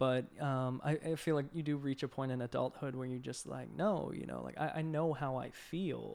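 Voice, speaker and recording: In an American accent, a man uses a normal speaking voice at a medium pitch and a moderate pace, with fairly even intonation and hardly any pauses. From Boston, Massachusetts. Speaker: art director. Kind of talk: casual chat. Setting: in-person recording, live streamed.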